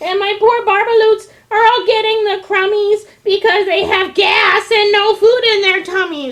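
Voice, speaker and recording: An extremely high, shouted, put-on character voice. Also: moderate pace. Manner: shouting, indignant.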